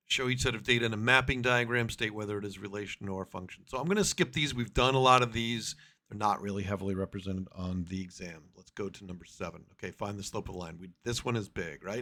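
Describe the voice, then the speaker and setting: Talking very fast with hardly any pauses, a man with a fairly low pitch and a bright, sharp tone uses ordinary pitch variation and big swings in loudness, on a very clean recording with a silent background. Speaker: math teacher. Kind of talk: tutorial. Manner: casual.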